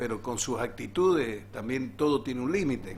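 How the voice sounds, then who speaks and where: Speaking very slowly at a medium pitch with ordinary pitch variation, a man is heard in a room with audible echo. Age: 60s. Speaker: teachers' union leader. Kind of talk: interview.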